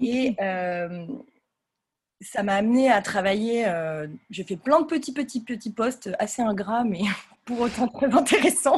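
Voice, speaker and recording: Pausing long and often, a woman with a fairly high pitch speaks fairly slowly with lively intonation against a quiet background. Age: 30s. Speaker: fashion brand founder. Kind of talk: casual interview.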